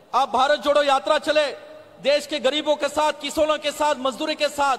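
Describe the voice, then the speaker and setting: A man's extremely high-pitched voice with monotone, flat intonation. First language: Marathi (speaking Hindi). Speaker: politician. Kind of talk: political rally speech. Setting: stage at public rally. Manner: halting.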